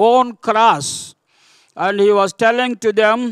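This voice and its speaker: Against a quiet background, a man talks at a very slow pace in a dry sound with no echo. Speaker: preacher. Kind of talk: sermon. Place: church. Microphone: podium.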